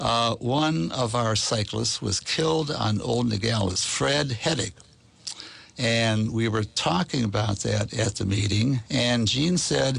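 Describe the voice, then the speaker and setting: Over noticeable background noise, a man with a medium pitch talks very slowly with lively intonation and very even loudness. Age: 80s+. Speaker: cycling advocate. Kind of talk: radio interview. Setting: studio.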